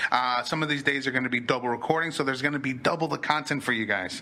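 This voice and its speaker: A man with a medium-pitched voice speaks in an animated tone. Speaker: podcast host. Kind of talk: casual chat. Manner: fast.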